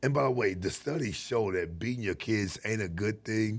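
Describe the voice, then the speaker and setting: A man's fairly low voice with ordinary pitch variation, on a very clean recording with a silent background. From Los Angeles, US. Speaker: martial arts coach. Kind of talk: casual chat.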